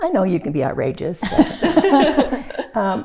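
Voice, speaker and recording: There is noticeable noise in the background. Over it, a woman talks very slowly. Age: 80s+. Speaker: podcast guest. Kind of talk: casual chat. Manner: halting.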